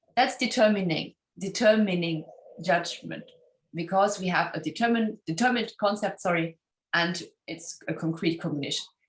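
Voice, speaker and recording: Somewhat breathy, a woman with a German accent speaks at a fairly quick pace with lively intonation. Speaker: philosophy scholar. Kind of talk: academic interview. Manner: halting, many fillers.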